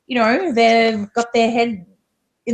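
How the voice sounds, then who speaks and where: A woman with an Australian accent talks at a moderate pace, sounding somewhat breathy. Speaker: divorce coach. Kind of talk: interview.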